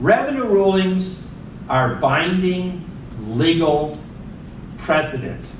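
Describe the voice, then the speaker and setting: Fairly high male speech with audible room echo and noticeable background noise. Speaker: professor. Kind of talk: lecture.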